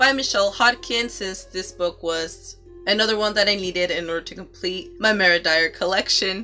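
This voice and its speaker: With music in the background, a woman speaks at a moderate pace, her medium pitch carrying lively intonation. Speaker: book vlogger. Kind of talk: casual talk to camera.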